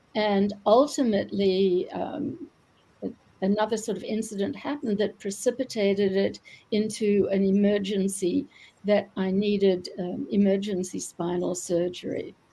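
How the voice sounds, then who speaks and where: A woman's somewhat breathy, medium-pitched voice with a dark, mellow tone, ordinary pitch variation and a moderate pace. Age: 70s. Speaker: retired doctor and author. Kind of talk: interview. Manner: halting, many fillers.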